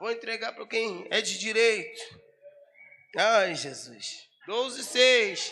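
With an extremely high pitch, a man projects a raised voice at a very slow pace, leaving long, frequent pauses. His pitch variation is ordinary, and the room echo is audible. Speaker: pastor. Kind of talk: sermon. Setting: church. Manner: animated.

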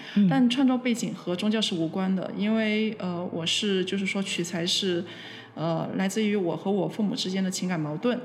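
A woman with a medium pitch speaks at a moderate pace. Her pitch varies in an ordinary way, and audible room echo surrounds her. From Guangzhou, China. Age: young. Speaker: visual artist. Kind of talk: interview. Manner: hesitant, many fillers.

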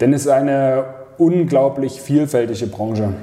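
At a moderate pace and a fairly high pitch, a man speaks over noticeable background noise. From Leipzig, Saxony. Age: 30s. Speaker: football club vice president. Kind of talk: casual interview.

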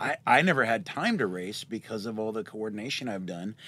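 Using a plain, everyday voice, a man with an American accent speaks at medium pitch and a fairly quick pace with ordinary pitch variation, on a very clean recording with a silent background. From Southern Oregon. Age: 40s. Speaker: minibike race director. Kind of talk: casual chat.

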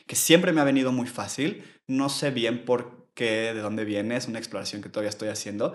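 A man speaks with a Mexico City accent. His pitch is medium, with ordinary variation. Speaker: yoga teacher. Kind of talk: casual chat.

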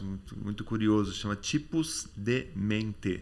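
A man with an ordinary speaking voice, fairly low pitch and ordinary pitch variation, on a very clean recording with a silent background. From Brazil, Campinas then Rio de Janeiro. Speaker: memory expert and author. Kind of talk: casual interview chat.

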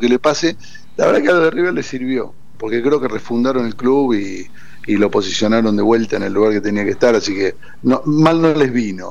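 A man talks at a moderate pace with ordinary pitch variation. Noticeable background noise is present. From Argentina, Córdoba. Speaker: football fan and former club official. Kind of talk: casual interview. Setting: phone call to radio studio.

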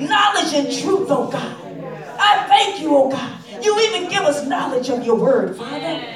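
Hardly any pauses break the fairly slow speech, which has noticeable background noise. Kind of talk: fervent prayer and praise, call-and-response style. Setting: prayer call. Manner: rhythmic, exclamatory, full of shouted 'hallelujah' and 'glory'.

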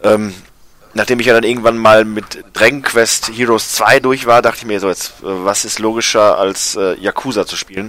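Monotone, flat intonation in a man's voice of medium pitch. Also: moderate pace. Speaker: video game podcast co-host. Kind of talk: casual chat. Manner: hesitant, many filler sounds.

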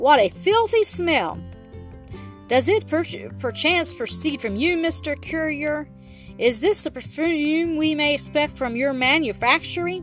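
A nasal put-on character voice at a fairly slow pace, with clear music in the background. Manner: mocking, disdainful.

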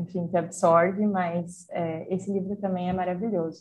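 The speaker is a woman. She sounds somewhat breathy. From Brazil, interior of Rio Grande do Sul. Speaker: journalist. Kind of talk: casual chat. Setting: video call.

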